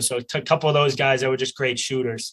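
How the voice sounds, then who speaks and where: This man has a Boston accent and a fairly high pitch. His tone is bright and sharp, with fairly even intonation. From Boston area, US Northeast. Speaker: college lacrosse player. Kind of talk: interview.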